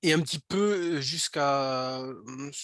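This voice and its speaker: A man speaks in a fairly high voice. The sound is dry and close with no echo, against a quiet background. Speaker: speech technology product developer presenting. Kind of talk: webinar presentation. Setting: online webinar. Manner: halting, many fillers and repetitions.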